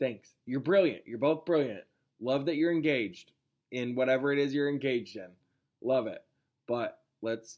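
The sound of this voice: An unforced reading voice with ordinary pitch variation over a quiet background.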